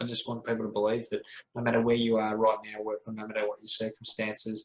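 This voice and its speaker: The speaker has an Australian accent and talks at a very fast pace. The intonation is monotone and flat. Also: man, medium pitch for a man. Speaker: speaker and author, wellness mentor. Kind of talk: interview. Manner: motivational, emphatic.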